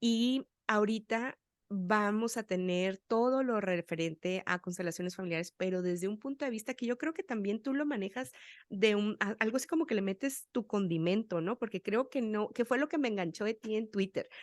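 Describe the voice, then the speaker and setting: A woman speaks at a moderate pace with a plain, everyday voice, her pitch fairly high and its variation ordinary. The sound is dry and close with no echo, over a quiet background. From Sonora, Mexico. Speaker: podcast host. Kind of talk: interview chat.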